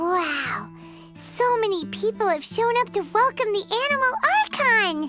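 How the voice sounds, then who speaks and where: An extremely high-pitched, put-on character voice moves at a moderate pace over clear music in the background. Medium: machinima. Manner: lively, chatty.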